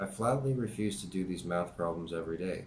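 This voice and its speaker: A man speaks at a fairly quick pace. Light background noise can be heard. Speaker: YouTube channel host reading a book aloud. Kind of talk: reading aloud, diary reading. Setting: home-made video, amateur recording. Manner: conversational, casual commentary between readings, with filler words; plain, steady, unpracticed reading pace with hesitations and stumbles. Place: home room. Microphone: webcam.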